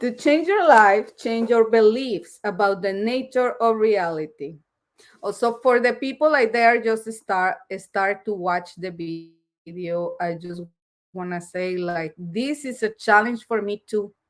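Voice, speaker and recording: This woman speaks at a fairly slow pace with a strong non-native accent, her fairly high voice moving through ordinary pitch variation. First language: Spanish. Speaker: live streamer reading a self-help book. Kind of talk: reading aloud with commentary. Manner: halting.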